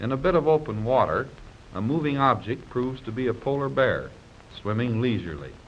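This man has an unremarkable speaking voice, talking at a moderate pace and medium pitch with ordinary pitch variation. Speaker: newsreel narrator. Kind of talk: 1930s newsreel travelogue voice-over narration, scripted and read.

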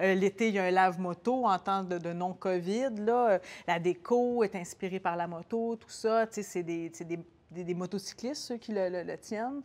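A woman talks at a fairly slow pace, her pitch varying in an ordinary way. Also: medium pitch for a woman. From Quebec. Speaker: TV host, motorcyclist guest; TV host, guest. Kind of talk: casual chat. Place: shop.

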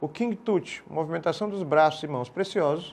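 This is a man with a fairly high voice. He talks at a moderate pace with ordinary pitch variation. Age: 50s. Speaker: art teacher. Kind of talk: recorded video lesson. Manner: informal with hesitations. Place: studio. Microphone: lapel.

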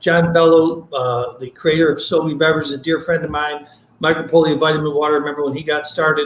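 Audible room echo surrounds a man with a fairly high-pitched voice who speaks in a New York accent with ordinary pitch variation. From upstate New York. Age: old. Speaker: product seller, former beverage salesman. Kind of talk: product demonstration. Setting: video call. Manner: fast talker; excitable. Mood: friendly, passionate. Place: home room. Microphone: video call.

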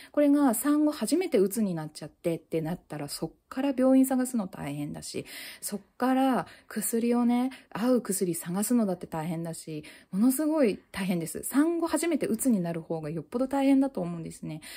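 At a moderate pace, the dark, mellow voice swings very widely in pitch and loudness against a quiet background. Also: woman, fairly high pitch for a woman. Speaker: mental health YouTuber, new mother; mental health YouTuber. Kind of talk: casual monologue. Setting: at home holding baby on balance ball. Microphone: phone near.

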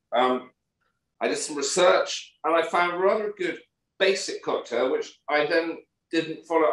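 A man with a British accent at a moderate pace, with audible room echo over a quiet background. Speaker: podcast co-host. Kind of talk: casual chat. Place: home room. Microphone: video call.

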